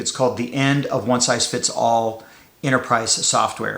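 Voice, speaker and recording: Medium pitch from a man, moderate pace and fairly even intonation, with audible room echo. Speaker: podcaster on AI and work. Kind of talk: casual monologue. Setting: home studio. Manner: hesitant, many fillers and restarts.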